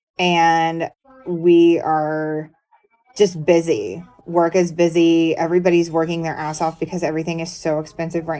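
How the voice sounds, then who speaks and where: Music plays in the background while a woman speaks at a moderate pace. Her pitch is fairly low and her intonation is monotone and flat. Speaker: true crime commentator, hairstylist. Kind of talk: casual vlog commentary. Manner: casual, some filler and restarts.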